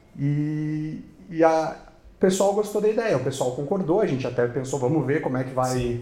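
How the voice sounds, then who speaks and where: Room echo can be heard as a man with a fairly high pitch speaks. His intonation is lively and his pace moderate. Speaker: construction company sales manager. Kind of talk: interview. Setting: studio.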